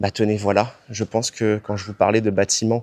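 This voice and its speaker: A man talks at a medium pitch and moderate pace. The sound is dry and close, with no echo. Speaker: travel vlogger. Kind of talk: travel vlog walkthrough. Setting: outdoors at temple. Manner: hesitant, many fillers.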